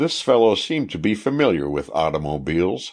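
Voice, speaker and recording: A man's very deep, low voice with vocal fry, lively intonation, a moderate pace, and a quiet background. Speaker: audiobook narrator. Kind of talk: audiobook reading of a historical true-crime narrative. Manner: even, measured, formal narrator pace.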